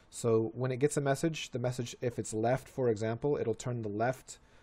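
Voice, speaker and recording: Against a silent background on a very clean recording, a man with a dark, mellow tone and medium pitch talks at a moderate pace with ordinary pitch variation. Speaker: Minecraft let's play host. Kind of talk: gameplay tutorial commentary. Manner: casual, with fillers and self-corrections.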